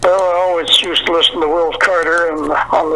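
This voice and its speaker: Over noticeable background noise, a man with a Canadian prairie accent talks fairly quickly at a high pitch with monotone, flat intonation. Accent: rural Canadian prairie. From Canada, Manitoba prairies. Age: 90s. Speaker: country songwriter and retired farmer. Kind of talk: interview.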